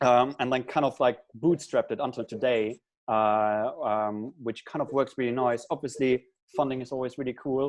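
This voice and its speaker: A man with a German accent, fairly even intonation and a quiet background. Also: medium pitch for a man, moderate pace. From Germany. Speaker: startup founder. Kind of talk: panel interview.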